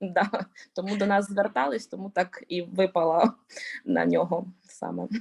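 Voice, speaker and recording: A speaker with a Ukrainian accent talks at a moderate pace, leaving long, frequent pauses. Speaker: conference presenter, researcher. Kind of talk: conference Q&A answers. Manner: halting, hesitant.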